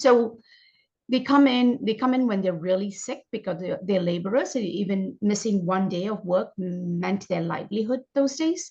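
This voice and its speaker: Her voice is somewhat breathy and medium in pitch. The woman moves at a moderate pace with ordinary pitch variation. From India. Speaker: functional medicine doctor. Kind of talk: interview.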